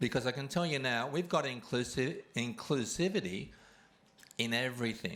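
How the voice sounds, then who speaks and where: A man with an Australian accent talks in a medium pitch at a fairly slow pace. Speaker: award recipient and kindness campaigner. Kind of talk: award acceptance speech.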